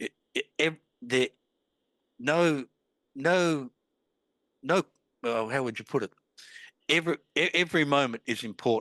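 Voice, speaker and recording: A man with an Australian accent speaks at a fairly slow pace with long, frequent pauses. His bright, sharp tone has ordinary pitch variation, with a dry, close sound with no echo and a quiet background. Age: 60s. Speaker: author. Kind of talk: interview. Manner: halting, with many false starts.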